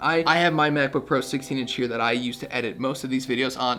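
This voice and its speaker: Over music in the background, the speaker talks at a very fast pace in an energetic tone with ordinary pitch variation. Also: man. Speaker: tech reviewer. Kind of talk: product review to camera. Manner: casual, energetic.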